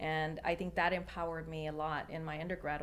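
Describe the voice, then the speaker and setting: Very fast, monotone delivery with flat intonation and vocal fry. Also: woman. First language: Spanish. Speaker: attorney. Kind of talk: panel discussion.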